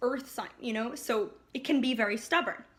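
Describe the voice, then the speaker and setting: A woman speaks in a raised, projected voice at a fairly quick pace. Her high pitch varies in an ordinary way, and her tone is bright and sharp. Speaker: astrology youtuber. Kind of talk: casual vlog forecast. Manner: animated.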